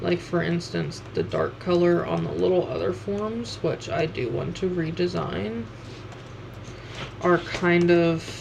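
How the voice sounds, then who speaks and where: A woman's very deep, low voice with very wide pitch swings at a fairly slow pace, amid audible room echo and noticeable background noise. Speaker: streamer and artist. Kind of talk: casual livestream chat while drawing. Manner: halting, many fillers.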